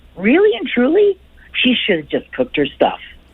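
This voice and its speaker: A woman's high voice at a moderate pace against noticeable background noise. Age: 70s. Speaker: caller. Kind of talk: casual chat.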